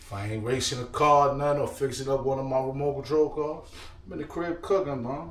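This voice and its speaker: With noticeable background noise and audible room echo, a man talks at a fairly quick pace in a fairly high-pitched voice. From New York. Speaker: lifestyle vlogger and DJ. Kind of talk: casual cooking vlog. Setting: home kitchen. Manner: relaxed, repetitive.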